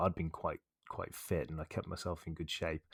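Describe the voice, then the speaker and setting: A man's voice at a moderate pace, with a dry, close sound and no echo. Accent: West Country. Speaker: podcast host. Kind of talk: podcast interview.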